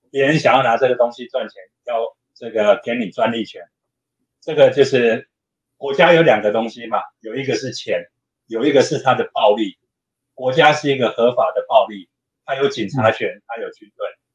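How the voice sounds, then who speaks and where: Loudness swings widely as a man speaks at a moderate pace with a Taiwanese accent. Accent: Taiwanese Mandarin. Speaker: open hardware maker advocate. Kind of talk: casual interview chat.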